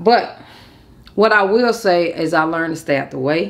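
Her tone animated, a woman moves at a moderate pace with very wide pitch swings. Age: 30s. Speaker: YouTuber; vlogger. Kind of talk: casual vlog storytime. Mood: reflective, candid. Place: home room.

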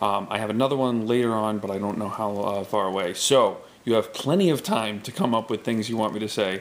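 This man talks at a fairly quick pace, his medium pitch showing ordinary variation. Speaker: vlogger. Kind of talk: casual talk to camera. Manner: hesitant, filler-heavy. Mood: amused, relaxed. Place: home room. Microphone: webcam.

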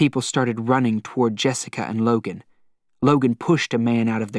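An unforced reading voice with fairly even intonation against a quiet background.

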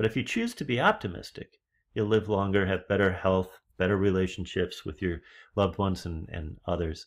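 Against a quiet background, a man talks at a fairly quick pace with a fairly low pitch. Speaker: leadership trainer. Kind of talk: lecture. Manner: animated. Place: home room. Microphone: webcam.

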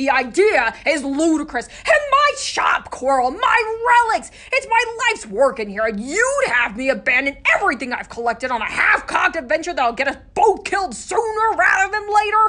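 A gruff, put-on character voice at an extremely high pitch swings very widely in pitch at a moderate pace with hardly any pauses. Light background noise sits behind it. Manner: gruff, grouchy, defensive.

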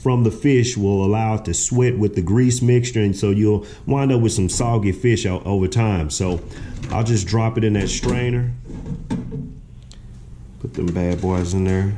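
A man, heard against noticeable background noise, keeps a moderate pace and ordinary pitch variation. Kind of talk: tutorial. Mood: relaxed, proud. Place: kitchen. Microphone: camera far.

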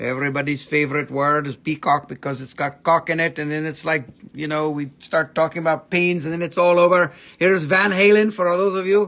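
A man's bright, sharp-toned voice at a fairly quick pace, with fairly even intonation. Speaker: seller on a live stream. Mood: joking, playful. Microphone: phone near.

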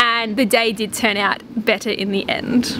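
A woman, dry sound with no echo, noticeable background noise. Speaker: travel vlogger. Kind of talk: casual vlog chat. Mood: upset, earnest. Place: garden. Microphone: phone near.

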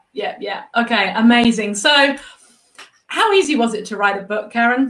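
With an animated, enthusiastic tone, a woman talks at a fairly slow pace with ordinary pitch variation and long, frequent pauses, and audible room echo fills the recording. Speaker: interview show host. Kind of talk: live interview. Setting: artist's studio, streamed live. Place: home room.

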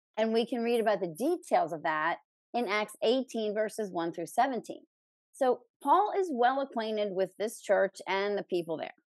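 A woman's fairly high voice with very wide pitch swings, at a moderate pace, over a quiet background with a dry sound and no echo. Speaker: podcast host. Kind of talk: Bible teaching discussion. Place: home room. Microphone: studio mic.

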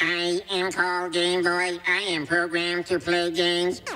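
A put-on character voice at a middle pitch, monotone and flat, at a moderate pace over clear background noise. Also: female-sounding voice. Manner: flat, programmed.

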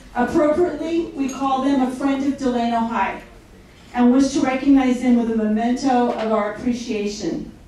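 A woman with a high pitch speaks at a moderate pace, her pitch varying in an ordinary way. There is strong room echo and light background noise. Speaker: event host. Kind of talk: formal speech. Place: hall.

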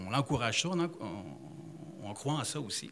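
A man with a Quebec accent, medium in pitch with very wide pitch swings, over light background noise. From Abitibi, Quebec. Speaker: tourism business owner; audience member. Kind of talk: public forum remarks. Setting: library public event with audience. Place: hall. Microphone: handheld.

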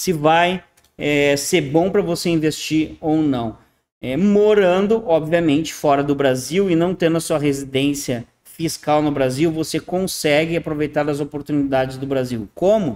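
With an unremarkable speaking voice, a man talks at a fairly high pitch and ordinary pitch variation. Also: fairly slow pace. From southern Brazil, Rio Grande do Sul. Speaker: online consultant and YouTube channel host on internationalization. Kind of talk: monologue presentation to viewers, screen share. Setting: at home in an apartment in Panama City, video recording. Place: home room. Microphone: webcam.

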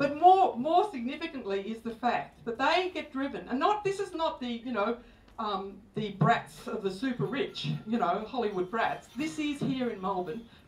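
A woman talks at a moderate pace with hardly any pauses and very wide pitch swings. Audible room echo surrounds her voice. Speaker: speaker. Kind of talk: public talk. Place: stage.

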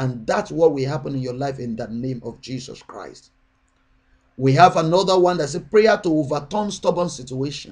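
A man talks at a moderate pace with a fairly high pitch and lively intonation. His loudness swings a lot against a quiet background. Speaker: prayer channel minister. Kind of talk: sermon and prayer. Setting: online video address. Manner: fervent, urgent, exhorting; repetitive, rhythmic, declarative. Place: home room. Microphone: webcam.

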